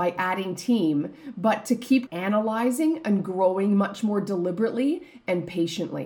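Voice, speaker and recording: A woman's medium-pitched, somewhat breathy voice with lively intonation at a fairly slow pace. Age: 40s. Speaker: business coach and podcast host. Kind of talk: solo podcast monologue.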